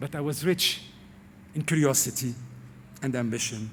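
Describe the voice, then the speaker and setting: A man speaks at a medium pitch with vocal fry. His pace is fairly slow and his pitch varies in an ordinary way. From Lebanon. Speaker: TV presenter. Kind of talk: commencement speech. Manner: formal.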